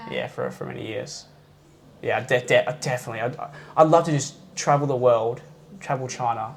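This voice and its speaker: Speaking at a fairly quick pace with an Australian accent, a man keeps his intonation fairly even. He takes long, frequent pauses over noticeable background noise. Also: medium pitch for a man, big swings in loudness. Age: 20s. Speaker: kung fu instructor. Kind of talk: interview chat. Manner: fast; halting.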